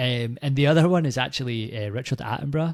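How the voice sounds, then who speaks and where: A man talks with a Scottish accent. His pace is fairly quick. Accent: Scottish, toned down for recording. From Scotland. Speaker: film podcast panelist. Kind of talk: casual chat.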